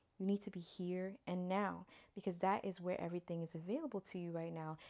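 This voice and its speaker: Speaking at a very fast pace, a woman has a dark, mellow tone. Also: medium pitch for a woman, very clean recording, silent background. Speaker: spiritual reader. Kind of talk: channeled spiritual guidance reading. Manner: animated.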